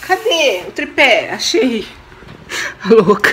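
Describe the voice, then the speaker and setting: A woman speaks with very wide pitch swings. Light background noise sits behind her. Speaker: home vlogger. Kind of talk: casual vlog chat. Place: kitchen. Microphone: phone near.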